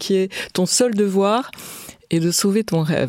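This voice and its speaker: This woman has an unremarkable speaking voice with medium pitch. She keeps a moderate pace and fairly even intonation. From France. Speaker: business executive. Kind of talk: interview.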